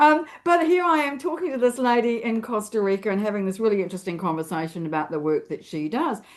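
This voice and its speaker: A woman in a New Zealand accent, at a fairly quick pace, with very wide pitch swings. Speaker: LinkedIn expert and author. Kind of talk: interview.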